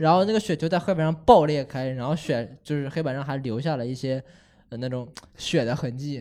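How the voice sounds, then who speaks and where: This man has an unremarkable speaking voice, fairly high in pitch with ordinary pitch variation, talking at a fairly quick pace on a very clean recording with a silent background. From Henan, China. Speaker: podcast host. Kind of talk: casual chat.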